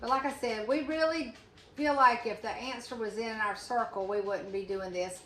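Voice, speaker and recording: Noticeable background noise and audible room echo around a fairly high-pitched woman's voice. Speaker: channel host, friend and advocate. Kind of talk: casual chat. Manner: loud; fast.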